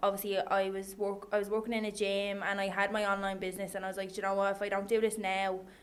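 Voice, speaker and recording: In a strong Irish accent, a woman speaks at a medium pitch with monotone, flat intonation. Room echo is audible. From Ireland, Dundalk. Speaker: online coach and personal trainer. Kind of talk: casual chat.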